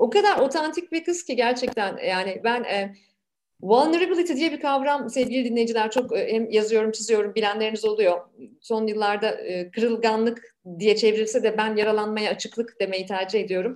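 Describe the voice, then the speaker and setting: With a normal speaking voice, a woman talks at a fairly high pitch and a moderate pace, with ordinary pitch variation. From Turkey, Ankara. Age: 40s. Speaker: podcast host and businesswoman. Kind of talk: podcast interview.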